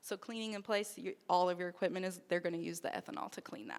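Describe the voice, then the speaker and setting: The voice belongs to a woman with a medium pitch. She speaks at a fairly quick pace. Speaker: conference presenter on regulatory training. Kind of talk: conference presentation. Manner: fast.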